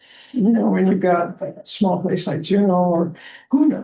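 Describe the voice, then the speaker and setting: Somewhat breathy, the voice carries a dark, mellow tone and lively intonation. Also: woman. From Alaska. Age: 70s. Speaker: scuba diver giving a community talk. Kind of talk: presentation Q&A.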